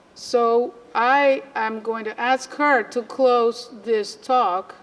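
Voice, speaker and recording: A woman speaks at a very slow pace with a high pitch and ordinary pitch variation. Noticeable background noise is present. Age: 50s. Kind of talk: lecture.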